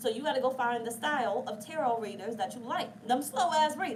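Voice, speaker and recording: Through audible room echo and noticeable background noise, a woman speaks in a fairly high pitch with an animated tone. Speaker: tarot reader. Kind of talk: tarot reading. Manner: fast.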